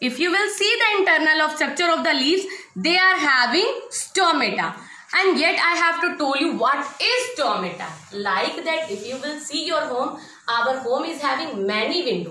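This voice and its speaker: In an Indian accent, a raised, projected voice swings very widely in pitch, with audible room echo. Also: woman, high pitch for a woman. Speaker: school science teacher. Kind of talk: online class lesson for children. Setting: recorded at home for online class. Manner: slow and repetitive, teacherly. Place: classroom. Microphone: phone near.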